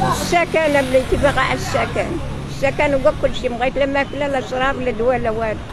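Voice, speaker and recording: With noticeable background noise but a dry sound with no echo, a woman talks very fast at a high pitch. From Morocco. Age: 70s. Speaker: homeless elderly woman; interviewee. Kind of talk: street interview. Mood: sad, pleading. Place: street. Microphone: handheld.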